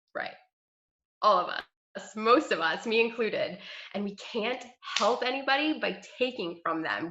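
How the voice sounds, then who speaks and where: A woman speaks at a moderate pace with an animated tone and ordinary pitch variation. Her tone is bright and sharp. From New York. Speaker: health coach. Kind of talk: team training call.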